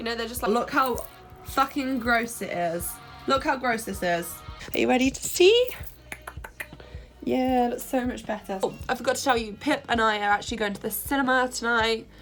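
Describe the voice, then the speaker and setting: A woman's high-pitched voice at a moderate pace, with long, frequent pauses and music in the background. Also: ordinary pitch variation. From England. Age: 20s. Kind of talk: casual talk to camera, vlog. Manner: casual, chatty.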